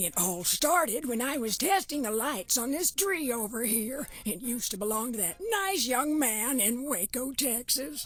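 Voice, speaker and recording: In a put-on character voice, a woman speaks at a moderate pace and high pitch with very wide pitch swings and hardly any pauses, over light background noise. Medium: video game. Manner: rambling, fretful.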